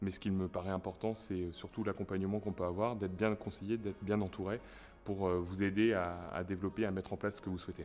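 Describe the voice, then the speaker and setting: A man's very deep, low voice, very fast and monotone with flat intonation, over a quiet background. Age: 30s. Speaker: business owner. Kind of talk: interview testimony.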